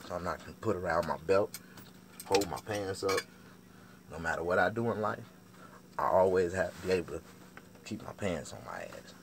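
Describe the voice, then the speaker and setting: A man's very deep, low voice at a fairly quick pace, with big swings in loudness and long, frequent pauses. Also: ordinary pitch variation. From US South. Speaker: barber and vlogger. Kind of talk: casual monologue vlog. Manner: fast; animated.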